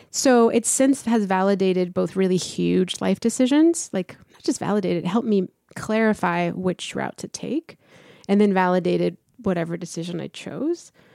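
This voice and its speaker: A woman speaks at a moderate pace on a very clean recording with a silent background. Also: dry, close sound with no echo. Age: 40s. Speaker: trainer and entrepreneur. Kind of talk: casual interview.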